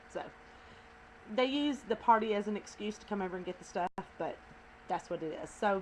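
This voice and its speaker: A woman of medium pitch with a Southern US accent, at a fairly quick pace with lively intonation. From US South. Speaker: video blogger. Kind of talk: casual chat. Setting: at home.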